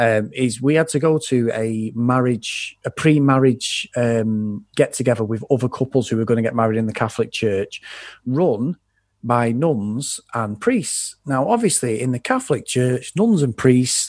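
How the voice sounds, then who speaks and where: With an English accent, a man speaks at a moderate pace in a medium pitch with ordinary variation. The background is quiet. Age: 40s. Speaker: podcast host and film fan. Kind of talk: casual chat.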